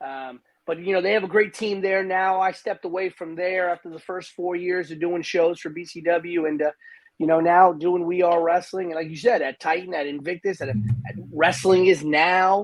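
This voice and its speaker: This man, with an American accent and a high pitch, talks at a moderate pace with ordinary pitch variation and big swings in loudness. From New York City. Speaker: wrestling commentator and promoter. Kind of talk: podcast interview. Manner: animated.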